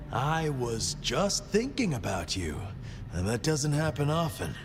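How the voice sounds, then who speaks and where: Loud music plays in the background as someone speaks fairly slowly in a put-on character voice. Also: man, medium pitch for a man. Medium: video game. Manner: icy, precise, condescending.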